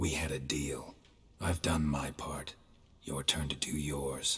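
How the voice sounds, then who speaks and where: Using a put-on character voice, a man speaks at a fairly slow pace with a very deep, low pitch and monotone, flat intonation. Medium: video game. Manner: deadpan, terse.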